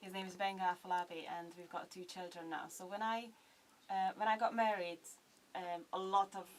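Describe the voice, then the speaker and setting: A woman with a Hungarian accent at a fairly quick pace, monotone and flat in intonation, over noticeable background noise. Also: medium pitch for a woman, big swings in loudness. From Hungary. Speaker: blogger and vlogger. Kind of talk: radio interview. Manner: hesitant, many fillers.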